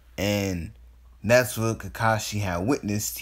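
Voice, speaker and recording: In a very clean recording with a silent background, a man with a fairly low pitch and ordinary pitch variation speaks at a fairly slow pace. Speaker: fan fiction storyteller youtuber. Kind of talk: casual improvised storytelling. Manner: halting, many fillers and restarts; yawning.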